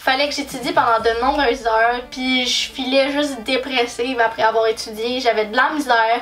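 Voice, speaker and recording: A woman speaks at a moderate pace with ordinary pitch variation. Noticeable background noise and audible room echo accompany her. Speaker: YouTuber. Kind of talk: casual vlog talk. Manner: loud; animated.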